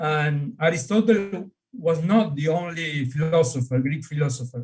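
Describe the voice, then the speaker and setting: A man with an Argentine accent speaks at a fairly slow pace. His somewhat breathy voice has a fairly high pitch and ordinary pitch variation. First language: Spanish. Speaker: astronomer and priest. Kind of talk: panel discussion. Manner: halting.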